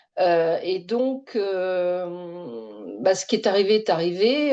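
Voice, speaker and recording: Over a quiet background, a woman with a fairly low pitch and a dark, mellow tone speaks at a very slow pace with lively intonation. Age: 60s. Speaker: retired bank employee. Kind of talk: testimony. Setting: online webinar. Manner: hesitant, many fillers.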